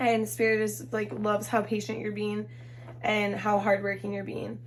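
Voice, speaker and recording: A woman speaks with audible echo from the room. Background noise is noticeable. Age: 20s. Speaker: tarot reader. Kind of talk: tarot reading. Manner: casual, filler-heavy.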